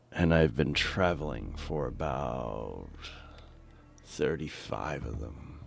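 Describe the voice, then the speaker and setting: A very deep, low male voice with vocal fry, at a very slow pace and with ordinary pitch variation. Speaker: gaming livestreamer. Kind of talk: casual livestream chat.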